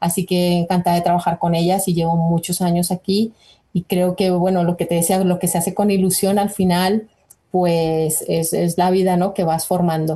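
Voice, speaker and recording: A somewhat breathy woman with a Colombian accent, a fairly low pitch and a dark, mellow tone, at a moderate pace in a monotone, flat intonation with very even loudness and a quiet background. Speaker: nutrition researcher. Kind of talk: interview.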